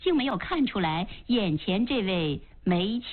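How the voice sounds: Lively intonation over a natural reading voice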